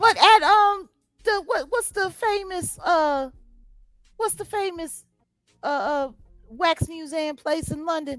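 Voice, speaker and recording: Over background music, a woman with an American accent talks at a very slow pace with long, frequent pauses, using lively intonation at an extremely high pitch. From US inner city. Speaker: talk show host. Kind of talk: casual chat. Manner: animated.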